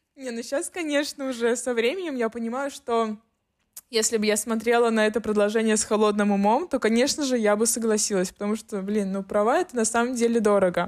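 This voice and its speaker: Fairly quick in pace, a woman with a normal speaking voice talks at a fairly high pitch with ordinary variation. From St. Petersburg, Russia. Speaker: podcast co-host, photographer. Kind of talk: casual chat.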